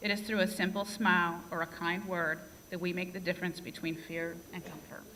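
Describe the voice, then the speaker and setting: A woman with a medium-pitched voice and fairly even intonation talks amid audible room echo. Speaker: nursing graduate, class speaker. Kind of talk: graduation speech. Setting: stage with audience. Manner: tends to speak fast.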